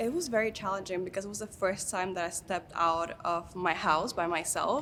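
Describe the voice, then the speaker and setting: A woman's medium-pitched, bright, sharp voice with a Dominican accent, fairly quick pace and ordinary pitch variation. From Dominican Republic. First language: Spanish. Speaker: beauty pageant contestant. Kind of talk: interview. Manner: conversational with filler words.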